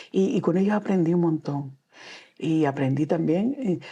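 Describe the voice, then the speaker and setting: With a Canarian accent, a woman speaks at a fairly low pitch in a dark, mellow tone, her pitch swinging very widely. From Canary Islands, Gran Canaria. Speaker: children's author and storyteller. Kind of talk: interview. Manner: halting.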